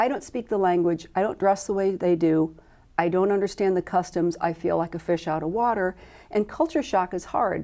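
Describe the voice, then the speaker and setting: A woman with a Midwestern accent talks at a fairly quick pace in a medium pitch. Her tone is dark and mellow, and the background is quiet. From US Midwest, Illinois and Iowa. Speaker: medical volunteer corps coordinator. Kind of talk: interview.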